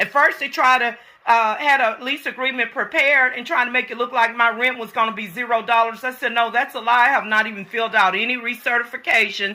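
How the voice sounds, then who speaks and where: Loud and animated, a woman with an American accent talks at a very fast pace in a high pitch. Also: hardly any pauses. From US. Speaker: vlogger. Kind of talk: complaint vlog.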